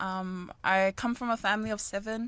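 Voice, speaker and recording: A woman with a New Zealand accent talks at a medium pitch and a fairly slow pace. The recording is very clean, with a silent background. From New Zealand, Auckland. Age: 20s. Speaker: amateur boxer. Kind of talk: interview. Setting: studio.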